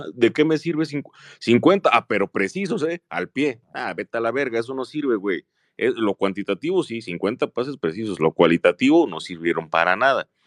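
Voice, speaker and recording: A man speaks at a moderate pace and a medium pitch, his pitch swinging very widely. The sound is dry and close with no echo, over a quiet background. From Jalisco, Mexico. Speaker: football fan commentator. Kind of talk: casual chat.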